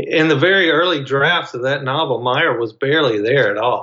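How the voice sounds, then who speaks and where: The man speaks at a moderate pace and fairly high pitch. His pitch variation is ordinary. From Mississippi. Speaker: novelist. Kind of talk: interview.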